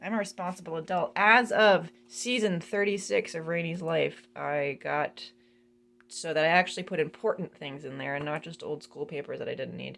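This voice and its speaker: A woman's fairly low voice with vocal fry. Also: ordinary pitch variation, moderate pace. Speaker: band member and drum teacher. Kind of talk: casual video room tour. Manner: casual, rambling with fillers.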